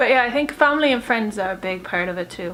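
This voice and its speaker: With an Irish accent, a woman speaks at a fairly high pitch over noticeable background noise. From Ireland. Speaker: YouTuber. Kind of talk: casual Q&A vlog. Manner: chatty, filler-heavy.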